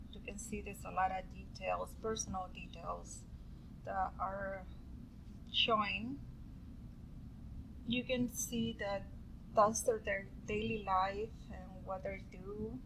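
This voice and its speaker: A woman with a strong non-native accent at a very slow pace, with long, frequent pauses, big swings in loudness and audible room echo. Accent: strong foreign. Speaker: student. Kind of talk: class presentation. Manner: halting, with many fillers.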